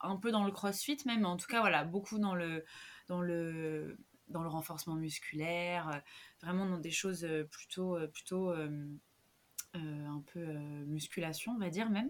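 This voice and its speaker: A woman's medium-pitched voice at a very slow pace, with long, frequent pauses, ordinary pitch variation, and a very clean recording with a silent background. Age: 30s. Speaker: yoga teacher and social worker. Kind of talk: casual interview.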